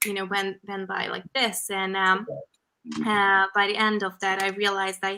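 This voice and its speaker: Speaking in a Hungarian accent, a woman uses a bright, sharp tone at medium pitch and a moderate pace. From Hungary (countryside). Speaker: fashion photographer. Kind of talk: interview.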